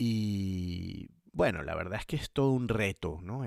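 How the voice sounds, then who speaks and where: A man speaking at a very slow pace on a very clean recording with a silent background. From Venezuela. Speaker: podcast host. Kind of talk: podcast monologue.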